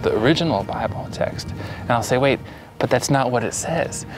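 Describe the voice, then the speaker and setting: Music plays in the background. A man speaks with an American accent. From US, Pennsylvania (Allentown). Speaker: settler interviewed about life in Israel. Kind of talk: interview.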